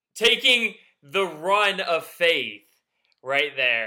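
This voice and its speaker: A man talks in a raised, projected voice. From Georgia, US South (north of Atlanta). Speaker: sports podcast co-host. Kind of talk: casual chat.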